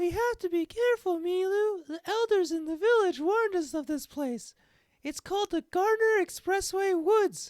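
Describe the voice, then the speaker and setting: A man does a squeaky put-on character voice at an extremely high pitch. He keeps a moderate pace. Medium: read story. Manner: blunt, determined.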